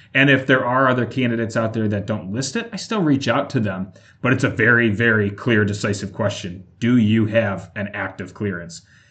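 A man talks at a fairly quick pace in an unremarkable speaking voice, with medium pitch and ordinary pitch variation. He barely pauses, over a quiet background. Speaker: recruiter. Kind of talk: interview.

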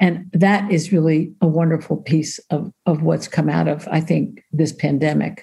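A woman with an American accent speaks at a fairly slow pace, with a dark, mellow tone, a very deep, low pitch, vocal fry, very even loudness, fairly even intonation and hardly any pauses. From New York. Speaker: social worker and author. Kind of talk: interview.

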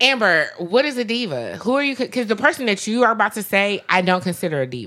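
With an American accent, a woman races along very fast with hardly any pauses, her fairly high, bright, sharp voice showing vocal fry and very wide pitch swings. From US East Coast. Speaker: podcast co-host. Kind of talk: casual chat.

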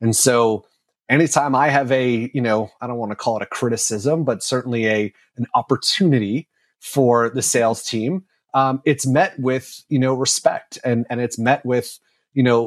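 On a very clean recording with a silent background, an ordinary speaking voice with an American accent comes through dry and close with no echo, at a moderate pace and with ordinary pitch variation. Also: man. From New York. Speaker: marketing executive. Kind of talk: interview.

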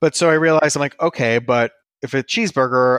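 In a very clean recording with a silent background and a dry, close sound with no echo, a man with an American accent and a plain, everyday voice speaks fairly quickly at a medium pitch with lively intonation. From New York (Brooklyn, Westchester). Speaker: food blogger. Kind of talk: interview.

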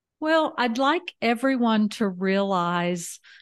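In a Southern US accent, a woman with fairly high pitch and lively intonation speaks at a very slow pace, the sound dry and close with no echo against a quiet background. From US South, Alabama. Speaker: podcast co-host, retired house sitter. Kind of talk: interview, life story.

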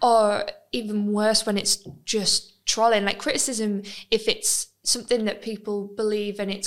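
A woman talks at a moderate pace and a medium pitch. Her pitch moves very little.

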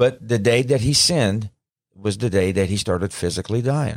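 A man talks with a Southern US accent at a fairly low pitch. His pace is fairly quick and his intonation lively. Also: very clean recording, silent background. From Mississippi. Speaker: paramedic and pastor. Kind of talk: studio interview. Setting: studio. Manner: halting.

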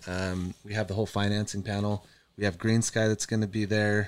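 This is an unremarkable speaking voice. Its intonation remains fairly even. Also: man. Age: 30s. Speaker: solar business consultant and event organizer. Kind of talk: casual chat.

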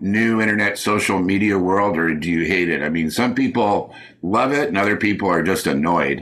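With an American accent, a man with a fairly low pitch and a plain, everyday voice speaks at a moderate pace using lively intonation. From Oklahoma. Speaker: podcast host. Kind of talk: casual interview chat.

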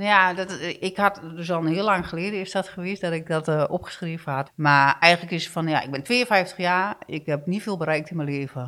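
In a very clean recording with a silent background, a woman with a fairly low pitch and a bright, sharp tone talks at a moderate pace with hardly any pauses and ordinary pitch variation. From eastern Netherlands. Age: 50s. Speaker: guest sharing personal struggle. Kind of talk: testimony. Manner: halting.

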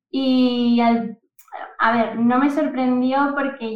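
A woman talks with fairly even intonation while music plays in the background. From Asturias, Spain (Oviedo). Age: 20s. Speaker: data and AI professional. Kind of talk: casual interview.

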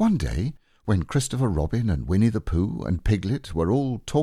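Here a natural reading voice can be heard.

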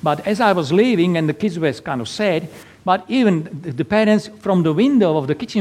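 With a Slovak accent, a man talks at a fairly quick pace. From Slovakia. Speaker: Lutheran pastor and navy chaplain. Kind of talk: sermon. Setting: church.

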